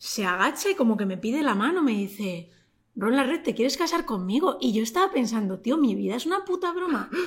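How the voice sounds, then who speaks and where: A woman speaks with a fairly high pitch. Her voice swings very widely up and down. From Madrid, Spain. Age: 30s. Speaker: YouTuber and TV presenter. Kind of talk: casual interview chat.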